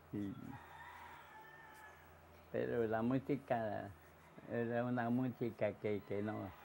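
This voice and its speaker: With light background noise behind him, a man speaks at a very slow pace in a medium pitch, his dark, mellow tone held to a monotone, flat intonation and broken by long, frequent pauses. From Puerto Rico. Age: 80s+. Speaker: elderly resident recalling the past. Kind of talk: interview answer. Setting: outdoors. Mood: cheerful, nostalgic. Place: home room.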